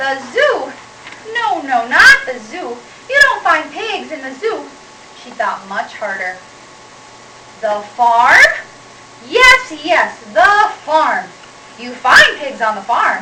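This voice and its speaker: In a put-on character voice, a woman cackles in a shrill, high pitch at a very slow pace with long, frequent pauses, over loud background noise. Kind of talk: children's picture-book read-aloud. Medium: read story.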